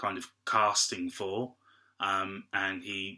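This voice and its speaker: Flat, monotone intonation marks this bright, sharp voice with an English accent. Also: man. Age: 20s. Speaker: actor. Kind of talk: interview. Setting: video call. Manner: halting.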